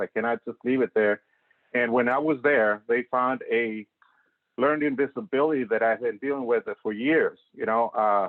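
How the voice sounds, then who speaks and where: A man with a Spanish accent at a moderate pace. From Mexico. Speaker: green building professional. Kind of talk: talk.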